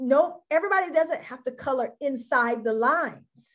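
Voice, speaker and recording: A woman talks at a moderate pace with lively intonation and a high pitch. The background is quiet. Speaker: coach and institute founder. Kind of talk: casual chat. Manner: loud.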